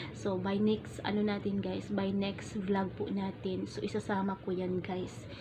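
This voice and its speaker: A woman speaks at a fairly slow pace, hardly pausing at all. Noticeable background noise runs underneath. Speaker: vlogger. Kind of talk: casual vlog talk. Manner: gentle, soft-spoken. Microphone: phone camera.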